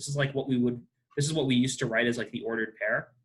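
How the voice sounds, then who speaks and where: A man is talking. His voice is somewhat breathy. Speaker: math teacher. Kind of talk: lecture. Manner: fast; halting.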